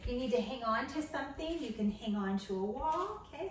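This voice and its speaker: A woman's lively intonation comes through at a moderate pace despite noticeable background noise. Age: 50s. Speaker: personal trainer. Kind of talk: fitness instruction, following along workout. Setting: at home workout video. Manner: encouraging, instructional, conversational.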